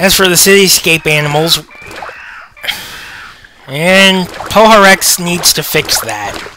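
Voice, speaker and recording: With noticeable background noise, a man speaks at a very slow pace in a high pitch, leaving long, frequent pauses. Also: ordinary pitch variation. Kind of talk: casual gameplay commentary. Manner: hesitant, stammering.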